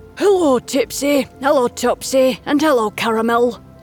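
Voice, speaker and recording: Clear music plays in the background as a croaky, put-on character voice speaks at a moderate pace. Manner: greeting warmly.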